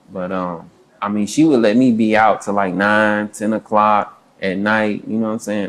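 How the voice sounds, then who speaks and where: At a moderate pace, a man speaks with fairly even intonation and a fairly low pitch. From St. Louis, Missouri, US Midwest. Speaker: rapper and producer. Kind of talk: casual interview. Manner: halting, many fillers.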